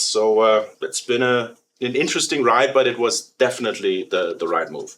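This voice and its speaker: A man with a German accent. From Germany. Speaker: company president. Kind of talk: interview. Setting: studio. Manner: hesitant, many fillers.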